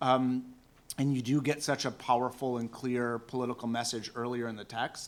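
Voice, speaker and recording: This man talks in an American accent at a medium pitch. His intonation stays flat and monotone. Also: moderate pace. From Seattle, US Pacific Northwest. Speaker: academic panelist. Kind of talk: conference Q&A answer. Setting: conference panel with audience.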